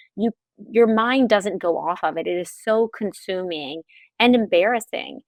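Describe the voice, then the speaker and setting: Her pitch shows ordinary variation as the woman speaks at a moderate pace. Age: 40s. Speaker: pelvic floor physical therapist and author. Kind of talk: podcast interview. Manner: animated.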